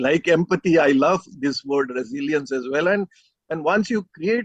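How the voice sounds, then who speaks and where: A man's intonation is lively as he talks at moderate speed. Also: dry, close sound with no echo. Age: 60s. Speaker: panelist. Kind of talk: panel discussion. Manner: halting, with many fillers.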